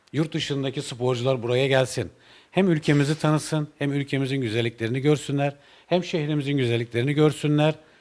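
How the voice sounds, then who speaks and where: On a very clean recording with a silent background, a man with a fairly high pitch speaks at a fairly quick pace with fairly even intonation. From Turkey, Balıkesir. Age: 40s. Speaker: motorcycle racer and mechanic. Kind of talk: interview. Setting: motorcycle shop. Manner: hesitant with many fillers.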